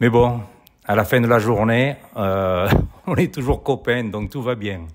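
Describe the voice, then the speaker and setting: Very slowly and in a southern French accent, a man speaks at a medium pitch with ordinary pitch variation on a very clean recording with a silent background. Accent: southern French accent, sing-song. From southern France. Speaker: interview guest, real estate agent. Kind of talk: casual interview. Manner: hesitant, many fillers.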